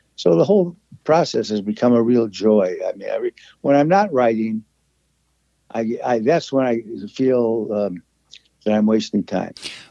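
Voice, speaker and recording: A man with an American accent talks at a moderate pace, his pitch medium and his tone dark and mellow. His intonation is lively, broken by long, frequent pauses. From US Midwest, Chicago. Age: 80s+. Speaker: Sherlockian essayist. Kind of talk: interview. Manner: chatty, digressive; halting with repetitions.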